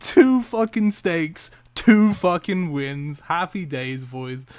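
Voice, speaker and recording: Male speech in an English accent, very cleanly recorded against total silence. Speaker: gaming youtuber. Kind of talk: gameplay commentary. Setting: home at night. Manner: animated.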